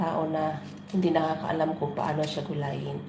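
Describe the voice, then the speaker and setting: Noticeable background noise and audible room echo surround the speaker. A woman with a fairly low pitch talks at a moderate pace. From Philippines, Negros. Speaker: vlogger. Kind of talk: casual cooking vlog. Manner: casual, chatty.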